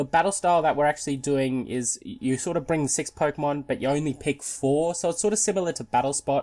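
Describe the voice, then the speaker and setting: This very clean recording has a silent background. A man with an Australian accent talks very fast, his fairly high pitch showing ordinary variation. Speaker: gaming YouTuber. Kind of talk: gameplay commentary. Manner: casual, hesitant with repetitions.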